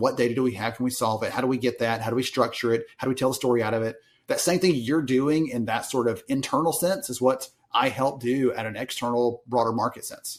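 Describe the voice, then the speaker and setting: A man with a strong Southern US accent, medium pitch, fairly even intonation and a very fast pace. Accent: thick Southern US. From US South. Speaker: industry analyst. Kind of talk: podcast interview.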